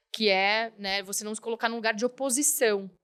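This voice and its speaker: At a fairly quick pace, a woman with a fairly high pitch talks in a normal speaking voice. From Curitiba, southern Brazil. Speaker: company health director, physician. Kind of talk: podcast interview.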